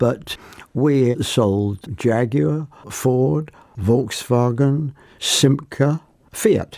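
Intonation is lively and the tone is dark and mellow in this man's voice. His loudness stays very even, broken by long, frequent pauses. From Plymouth, Devon. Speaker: retired car dealer and accountant. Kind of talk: interview conversation.

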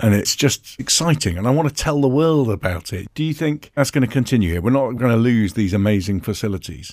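In an ordinary speaking voice, a man talks at a fairly quick pace and medium pitch with lively intonation and hardly any pauses. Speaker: podcast host and business organisation chief. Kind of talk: interview.

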